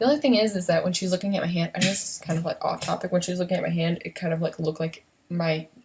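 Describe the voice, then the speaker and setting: A woman speaks quietly at a very fast pace. Her pitch is fairly low and varies in an ordinary way. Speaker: beauty vlogger. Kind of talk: casual makeup tutorial livestream. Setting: home at night, son asleep next door. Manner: quiet, hushed; chatty, filler-heavy.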